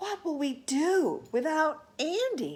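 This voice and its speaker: Putting on a character voice, a woman speaks high and fairly slowly. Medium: read story.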